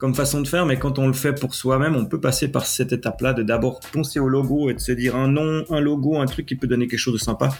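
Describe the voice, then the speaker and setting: Speech runs at a very fast pace in a Swiss accent, with fairly even intonation and very even loudness. Music plays in the background. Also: man. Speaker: podcast host and web developer. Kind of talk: solo tech podcast tutorial. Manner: casual, with frequent hesitations.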